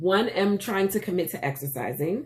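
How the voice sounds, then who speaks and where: Animated, lively intonation from a woman with a medium-pitched voice. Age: 40s. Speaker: vlogger and teacher. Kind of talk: casual vlog.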